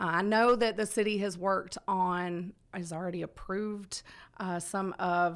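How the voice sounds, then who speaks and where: A woman talks in a Southern US accent at medium pitch. The recording is very clean, with a silent background. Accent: Southern US (Georgia). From Georgia, US South (Conyers). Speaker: city council candidate. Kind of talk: radio interview.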